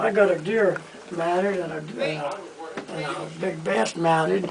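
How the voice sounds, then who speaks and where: Moderately paced, high-pitched speech from a man over noticeable background noise. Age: 80s+. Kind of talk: interview answer.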